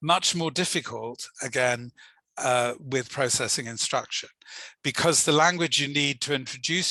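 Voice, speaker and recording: Against a quiet background, a man speaks at medium pitch with a bright, sharp tone and ordinary pitch variation. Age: old. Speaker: language teaching academic. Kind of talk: online lecture.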